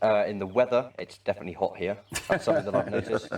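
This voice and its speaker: A man with an English accent speaks at a fairly low pitch. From England, West Midlands. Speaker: volunteer, army reservist. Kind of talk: interview. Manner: hesitant, many fillers.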